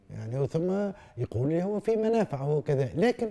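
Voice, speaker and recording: Against a quiet background, a man talks at a fairly slow pace in a dark, mellow tone with very wide pitch swings. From Tunisia, Tunis. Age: 70s. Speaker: philosopher; interviewee. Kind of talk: interview. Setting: Tunis. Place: home room.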